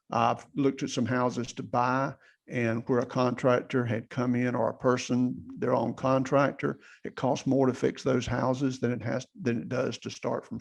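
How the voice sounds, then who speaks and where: The voice has vocal fry, fairly even intonation and a fairly slow pace. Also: man. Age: 60s. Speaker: general contractor and real estate investor. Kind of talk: podcast interview. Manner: casual conversational.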